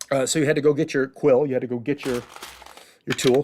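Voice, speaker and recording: In a Chicago accent, a man talks at a very fast pace with a fairly high pitch and monotone, flat intonation. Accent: Chicago accent, says get like git. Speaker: lecturer on theater history.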